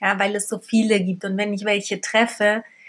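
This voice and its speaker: Here is a plain, everyday voice from a woman, pitched in the medium range. She talks fairly slowly with fairly even intonation. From Berlin, Germany. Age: 30s. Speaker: podcast host, single mother. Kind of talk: casual monologue.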